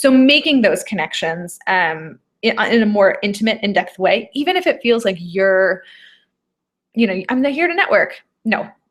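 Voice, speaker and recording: A woman's fairly high voice with very wide pitch swings. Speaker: event and business coach. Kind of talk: live webinar. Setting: live video stream. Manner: fast; animated.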